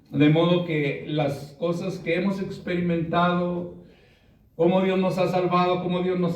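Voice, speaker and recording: Over noticeable background noise and audible room echo, a man talks at a fairly slow pace with a high pitch. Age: 60s. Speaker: preacher. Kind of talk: sermon.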